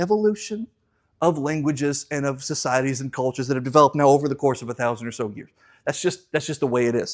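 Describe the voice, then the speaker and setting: Speaking at a very fast pace, a man uses a fairly high pitch and an American accent. The recording is very clean, with a silent background. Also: ordinary pitch variation. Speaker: Bible class teacher. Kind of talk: Bible class lecture. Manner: casual, conversational.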